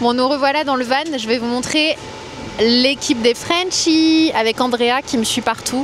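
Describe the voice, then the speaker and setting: An animated woman's voice pitched high, set against noticeable background noise. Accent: slight Norman. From Normandy, France. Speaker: beauty and travel vlogger. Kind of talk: travel vlog, casual chat. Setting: in a van.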